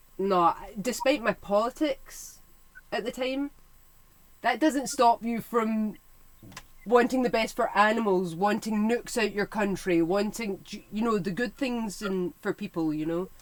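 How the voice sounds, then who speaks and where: In a Scottish accent, a woman speaks fairly slowly at a fairly high pitch with ordinary pitch variation. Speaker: history YouTuber. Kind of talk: casual chat. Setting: livestream.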